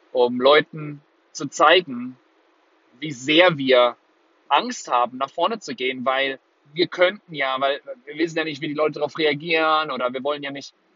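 A man with a fairly high pitch speaks in an animated tone at a moderate pace, using ordinary pitch variation. His loudness swings widely, and long, frequent pauses punctuate his speech. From Germany, Würzburg (Lower Franconia). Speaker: podcast host and life coach. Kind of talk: motivational monologue. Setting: in a car.

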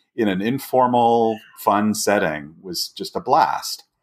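A man of medium pitch with an American accent, in a very clean recording with a silent background. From Southern California. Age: 60s. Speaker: hiking blogger and outdoor community leader. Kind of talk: interview conversation.

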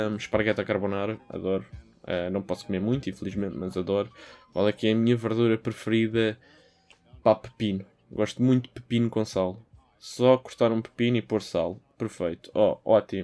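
A man's medium-pitched voice with a European Portuguese accent, dark and mellow in tone, at a fairly quick pace with fairly even intonation. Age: 20s. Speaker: podcast host. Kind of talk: solo podcast monologue. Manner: casual, hesitant with fillers.

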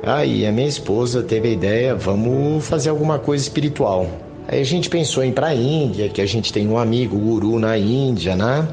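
The speaker talks at a fairly quick pace with very even loudness and ordinary pitch variation, amid audible room echo and noticeable background noise. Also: man, medium pitch for a man. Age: 50s. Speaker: tennis coach. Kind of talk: interview.

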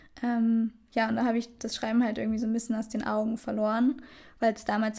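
A woman talks at a fairly high pitch. Her voice is somewhat breathy. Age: 20s. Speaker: podcast co-host, student. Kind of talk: casual chat. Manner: laughing often.

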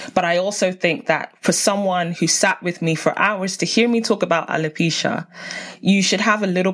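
With a South London accent, a woman speaks at a moderate pace and a fairly low pitch, using ordinary pitch variation. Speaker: podcast host and TV researcher. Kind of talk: casual interview. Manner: animated.

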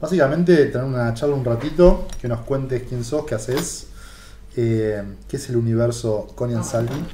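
Noticeable background noise and audible room echo fill the recording. A man speaks with ordinary pitch variation. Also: medium pitch for a man, moderate pace. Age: 40s. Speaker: podcast host. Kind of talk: interview.

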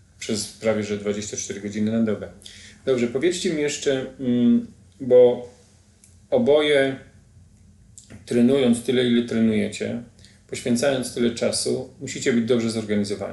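Audible room echo surrounds a man with a dark, mellow tone. He speaks at a moderate pace with long, frequent pauses. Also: medium pitch for a man, fairly even intonation. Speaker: podcast host. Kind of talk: interview.

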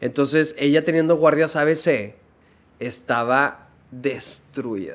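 This man's voice sits fairly high in pitch, and he speaks at a very slow pace. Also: ordinary pitch variation. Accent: northern Mexican. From Monterrey, northern Mexico. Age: 30s. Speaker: dermatologist. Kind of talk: casual interview chat.

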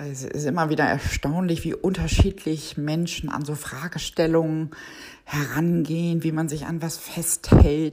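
Over noticeable background noise, a woman with a very deep, low pitch speaks at a fairly slow pace in a monotone, flat intonation, with big swings in loudness. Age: 50s. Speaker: project controller. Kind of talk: interview.

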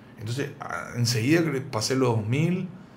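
Audible room echo fills the space. Through it, a man talks at a moderate pace. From Paraguay, raised there after early childhood in Buenos Aires. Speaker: cook and video creator. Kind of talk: casual interview.

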